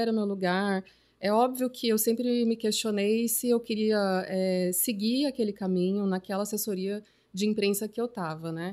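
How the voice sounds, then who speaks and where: A woman speaks at a moderate pace in a medium pitch, her dark, mellow tone carrying ordinary pitch variation over a very clean recording with a silent background. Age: 30s. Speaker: journalist and artist. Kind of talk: casual chat.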